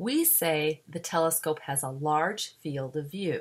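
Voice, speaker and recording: A woman with an American accent speaks in a very deep, low pitch. Her pace is fairly slow, and her pitch varies in an ordinary way. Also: very clean recording, silent background. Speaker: science educator. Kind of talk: educational narration.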